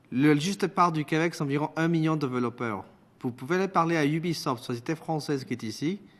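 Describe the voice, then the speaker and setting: A man speaks at a fairly quick pace with a fairly high pitch. His intonation stays fairly even over a quiet background. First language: Spanish (speaking French). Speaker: witness at parliamentary committee. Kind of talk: parliamentary committee testimony. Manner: formal.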